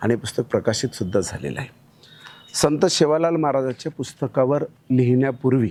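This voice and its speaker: The man's voice has a dark, mellow tone. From Maharashtra, Banjara community. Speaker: author. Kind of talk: interview soundbite.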